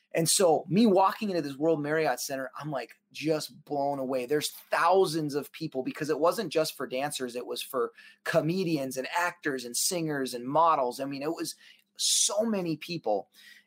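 A man speaks with an American accent and an unremarkable speaking voice. His pitch is fairly high and varies in an ordinary way. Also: moderate pace. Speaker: professional dancer and performer. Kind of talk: interview storytelling.

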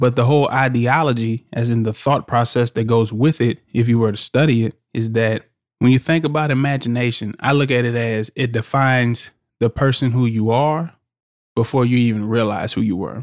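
In a very clean recording with a silent background and a dry, close sound with no echo, a man uses a normal speaking voice at medium pitch, a moderate pace and fairly even intonation. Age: 20s. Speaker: podcast host and youth mentor, military veteran. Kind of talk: motivational monologue.

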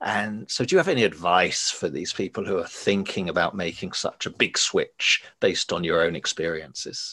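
Hardly any pauses interrupt this man, who talks at a moderate pace. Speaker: podcast host. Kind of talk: interview conversation.

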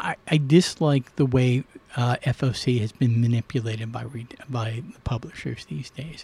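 Dry and close with no echo, this recording captures a man with a medium pitch and ordinary pitch variation. His tone is dark and mellow, and somewhat breathy. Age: 60s. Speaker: comic shop owner. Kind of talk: casual interview chat.

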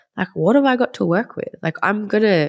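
A woman with an Australian accent talks at a fairly quick pace with vocal fry and ordinary pitch variation. The recording is very clean, with a silent background. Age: 30s. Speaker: acupuncturist. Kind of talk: interview.

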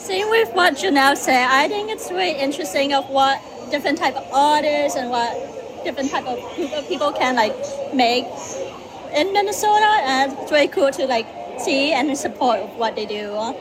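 A woman's high voice with very wide pitch swings at a moderate pace, with crowd noise in the background. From Vietnam. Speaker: volunteer. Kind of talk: live interview. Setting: live at a booth at a state fair.

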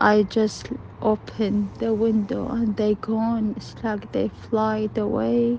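Noticeable background noise runs under this recording. A woman talks at a very slow pace. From Iraq. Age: 30s. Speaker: asylum seeker sharing her story. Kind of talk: personal testimony.

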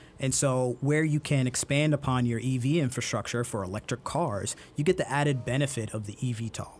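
Speaking at a fairly quick pace with hardly any pauses, a man shows ordinary pitch variation. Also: medium pitch for a man. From Brooklyn, New York. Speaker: transportation expert. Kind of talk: interview.

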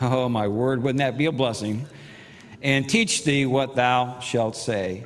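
The man keeps to a moderate pace as he talks. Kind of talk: sermon. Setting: church. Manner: casual, teasing, humorous.

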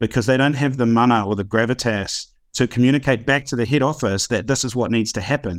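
A man with a New Zealand accent talks very fast with ordinary pitch variation on a very clean recording with a silent background. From northern New Zealand and Auckland. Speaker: startup founder and CEO. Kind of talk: casual interview chat.

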